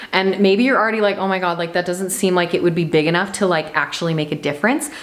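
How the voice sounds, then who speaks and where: Noticeable noise sits in the background. A woman talks over it. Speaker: podcast host and mindset coach. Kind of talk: motivational monologue. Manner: animated.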